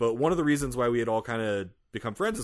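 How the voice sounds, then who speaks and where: A man with an American accent talks at a very fast pace in a medium pitch, with ordinary pitch variation, against a quiet background. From Louisiana, US. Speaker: web novel podcaster. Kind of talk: casual chat.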